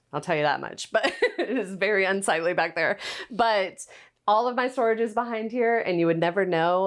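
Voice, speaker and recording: A woman with an American accent talks at a fairly quick pace, with ordinary pitch variation, in a normal speaking voice. The background is quiet. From US South. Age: 30s. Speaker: content creator. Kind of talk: casual home tour talk. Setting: at home. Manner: casual, chatty.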